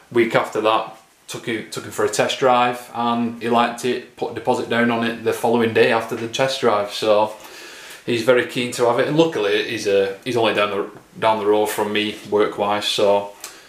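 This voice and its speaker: A man's monotone, flat delivery at a moderate pace, with audible room echo. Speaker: car vlogger. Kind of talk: casual vlog chat. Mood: a bit sad, wistful. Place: kitchen. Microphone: phone near.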